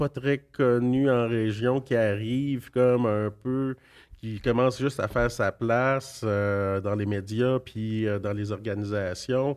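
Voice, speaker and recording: A man with a medium pitch talks at a very slow pace and fairly even intonation, recorded very cleanly against a silent background. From Quebec, Abenaki nation. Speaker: politician. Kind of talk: interview. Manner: halting.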